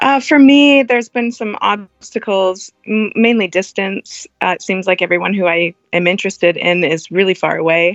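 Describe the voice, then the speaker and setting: A plain, everyday voice from a woman, delivered at an even, middling pace. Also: medium pitch for a woman, ordinary pitch variation. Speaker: guest seeking cuckold relationship. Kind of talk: interview chat. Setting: phone call.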